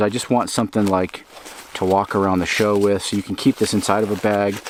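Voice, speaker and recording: A man speaks in a fairly low voice with fairly even intonation, and noticeable background noise runs underneath. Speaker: outdoor gear reviewer. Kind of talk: product review. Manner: fast; casual, hesitant fillers.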